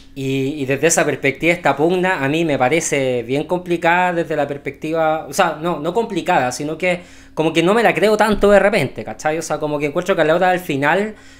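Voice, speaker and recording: The speaker talks at a fairly quick pace with a Chilean accent and ordinary pitch variation. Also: man. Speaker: podcast co-host. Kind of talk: casual political chat.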